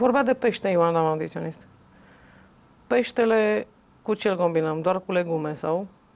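With long, frequent pauses, a woman talks at a moderate pace and a fairly low pitch, her intonation lively. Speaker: talk show host. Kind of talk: casual chat. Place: home room.

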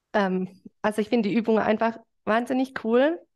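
A woman keeps a moderate pace, the background around her quiet. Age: 40s. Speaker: fitness trainer. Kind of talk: interview. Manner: hesitant with many fillers. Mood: cheerful, smiling. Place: home room. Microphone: video call.

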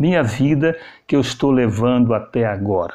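A man's dark, mellow voice at a moderate pace, with ordinary pitch variation and a quiet background. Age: 60s. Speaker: journalist and vlogger; vlogger, journalist. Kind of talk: casual vlog talk. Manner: repetitive, animated. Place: home room.

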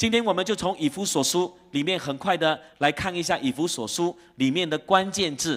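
Pitched high, a man speaks at a moderate pace with ordinary pitch variation and hardly any pauses. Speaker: pastor. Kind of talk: sermon. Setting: church.

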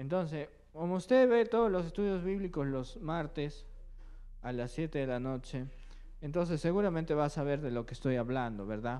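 A man speaks at a moderate pace in a fairly high pitch, his tone dark and mellow, with ordinary pitch variation.

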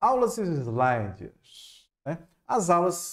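Over a quiet background, a man talks in a Ceará accent. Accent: Ceará northeastern. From Fortaleza, Ceará, Brazilian Northeast; Ceará, Brazil. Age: 30s. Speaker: university chemistry professor. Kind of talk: online lecture. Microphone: headset.

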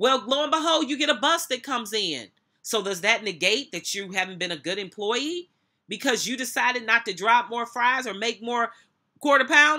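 A woman with an American accent talks at a moderate pace in a high voice with a bright, sharp tone. Her intonation is lively, and the background is quiet. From United States. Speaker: minister and motivational speaker. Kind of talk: sermon-style commentary to camera, reading scripture and preaching. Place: office. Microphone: webcam.

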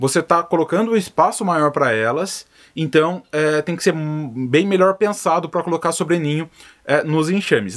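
A man's fairly high-pitched voice at a moderate pace, with ordinary pitch variation, against a quiet background. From Brazil. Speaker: stingless beekeeper and video creator. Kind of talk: tutorial answering viewer questions. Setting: outdoors at the apiary. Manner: casual, conversational.

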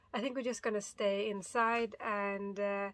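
The voice belongs to a woman. It sounds bright and sharp. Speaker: solo sailor vlogger. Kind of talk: casual vlog chat. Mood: a bit annoyed, reflective. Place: boat. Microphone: phone near.

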